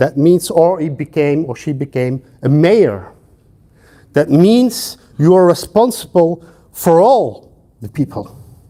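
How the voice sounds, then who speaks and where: With a Flemish accent, a man speaks at a fairly slow pace in a dark, mellow tone. His pitch is fairly high, with very wide pitch swings. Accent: Flemish Dutch accent in English. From Belgium (Flanders). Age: 50s. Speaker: sociology professor. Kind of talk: lecture. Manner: hesitant with frequent fillers.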